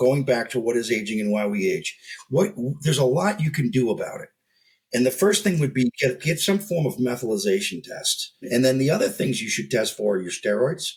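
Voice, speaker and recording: A man's somewhat breathy voice at medium pitch, fairly quick in pace, with very wide pitch swings. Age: 60s. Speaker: health business founder, guest expert. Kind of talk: casual interview chat.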